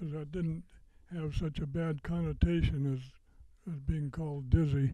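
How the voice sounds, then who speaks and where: With an American accent, a man speaks at a fairly high pitch in a dark, mellow, somewhat breathy tone, his pitch varying in an ordinary way while his loudness swings a lot. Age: 90s. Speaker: war veteran. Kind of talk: personal testimony speech. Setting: veterans center event with audience. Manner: halting, many fillers and repetitions.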